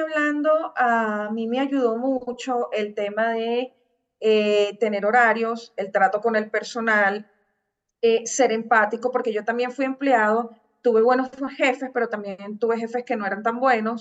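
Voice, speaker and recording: A woman with a normal speaking voice, pitched fairly high, talks at a fairly slow pace with fairly even intonation. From Venezuela, Caracas. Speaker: digital marketing agency founder. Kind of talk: interview.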